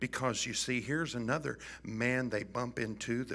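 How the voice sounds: With fairly even intonation, the reading is done in a natural reading voice.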